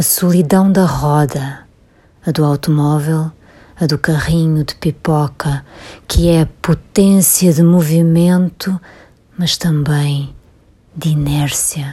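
Somewhat breathy and very slow, a woman speaks with a very deep, low pitch, a dark, mellow tone, fairly even intonation and long, frequent pauses. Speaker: poet reading her own work. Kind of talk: poem reading. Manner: slow, measured, contemplative.

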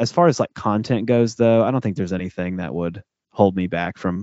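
A man talks at a fairly quick pace in a plain, everyday voice. His pitch is fairly low, with ordinary pitch variation. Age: 30s. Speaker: podcast co-host, guest. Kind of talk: casual chat.

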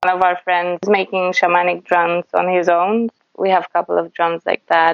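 A woman's fairly low voice in a Polish accent, monotone and flat, at a moderate pace. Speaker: folk singer. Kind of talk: interview. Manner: halting.

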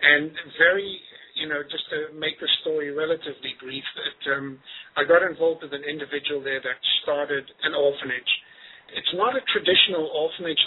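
Over noticeable background noise, a man talks fairly quickly with a fairly high pitch and fairly even intonation. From Zimbabwe. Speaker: charity volunteer. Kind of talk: interview.

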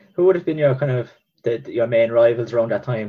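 Speaking at a medium pitch, a man talks with an Irish accent. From Ireland. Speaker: podcast host. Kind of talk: interview. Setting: video call.

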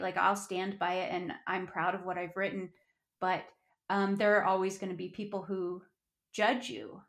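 This is an unremarkable speaking voice. It keeps a moderate pace. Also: woman. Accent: American. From Colorado, US. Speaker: author. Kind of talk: interview.

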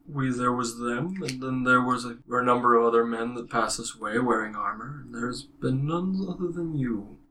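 Using a put-on character voice at a medium pitch, a man talks with hardly any pauses. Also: moderate pace. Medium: actual play. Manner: slow, solemn, archaic.

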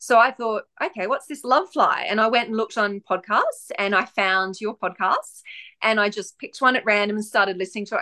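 Talking at a fairly quick pace, a woman with an Australian accent has a bright, sharp tone, fairly high pitch and ordinary pitch variation. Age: 40s. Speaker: author and former nervous flyer. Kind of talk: casual interview.

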